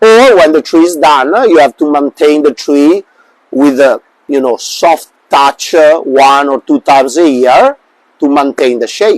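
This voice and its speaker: A man with an Italian accent speaks at a fairly slow pace in a fairly high pitch, with ordinary pitch variation and a dry, close sound with no echo. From Italy. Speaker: bonsai artist. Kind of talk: interview. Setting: live stream. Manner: hesitant, many fillers.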